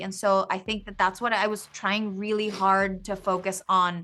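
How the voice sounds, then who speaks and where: On a very clean recording with a silent background, a woman with a medium pitch speaks at a fairly slow pace in a monotone, flat intonation. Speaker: actress. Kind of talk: interview answer. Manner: casual.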